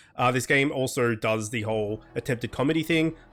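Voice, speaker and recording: Music plays in the background as a man speaks at a medium pitch. His intonation is lively. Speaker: gaming youtuber. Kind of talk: gameplay commentary. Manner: fast reading of game text.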